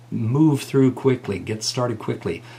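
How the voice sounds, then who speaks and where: A man's somewhat breathy, medium-pitched voice moves with ordinary pitch variation. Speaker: college music teacher. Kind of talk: tutorial.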